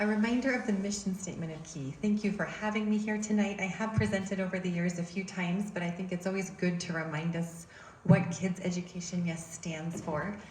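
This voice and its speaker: A soft-spoken woman at a medium pitch, fairly quick and hardly pausing, with fairly even intonation, audible room echo and noticeable background noise. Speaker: education advocacy group chair. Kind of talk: public presentation. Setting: church hall talk with audience, using a mic.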